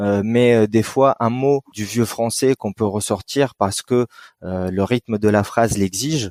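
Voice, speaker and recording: A man of medium pitch speaks at a fairly slow pace with ordinary pitch variation in a dry, close sound with no echo. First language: Arabic (speaking French). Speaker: writer. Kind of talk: interview. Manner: hesitant, many fillers.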